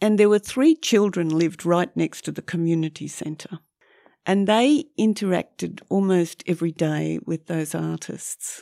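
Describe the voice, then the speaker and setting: Speaking at a fairly slow pace, a woman with a dark, mellow tone and fairly low pitch shows ordinary pitch variation in a very clean recording with a silent background. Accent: Australian. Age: 70s. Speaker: photographer. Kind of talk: casual interview chat. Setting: studio.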